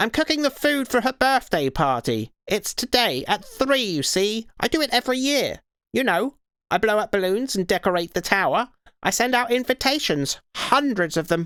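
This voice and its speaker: A put-on character voice, fairly high and shrill, delivered at a moderate pace. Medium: read story. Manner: excitable, chattering.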